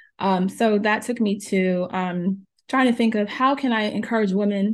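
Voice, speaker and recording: A woman talks at medium pitch against a quiet background. She has an ordinary speaking voice. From New Jersey (born in Jamaica). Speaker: pharmacist and health coach. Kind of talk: interview.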